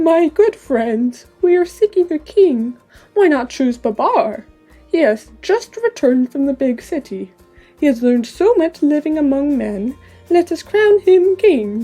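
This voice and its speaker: Over faint background music, a woman uses a shaky, put-on character voice with a high pitch, a solemn tone and a moderate pace. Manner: wise, solemn.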